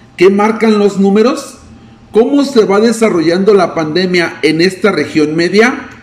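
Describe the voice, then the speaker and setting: This man talks at a fairly slow pace, high-pitched with ordinary pitch variation. Noticeable background noise can be heard. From Mexico, Río Verde. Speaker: news reporter. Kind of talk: news reading.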